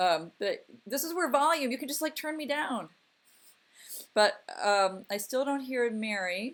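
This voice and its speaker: Loud and fairly slow, a woman speaks in a high pitch with very wide pitch swings. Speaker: livestream host and freelancer workshop organizer. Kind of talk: casual chat. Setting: video call.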